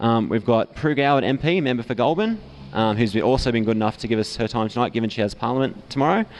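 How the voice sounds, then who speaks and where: A man's medium-pitched voice with an Australian accent, very fast, with ordinary pitch variation. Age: young. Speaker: event moderator. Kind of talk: event introduction. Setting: pub with live audience.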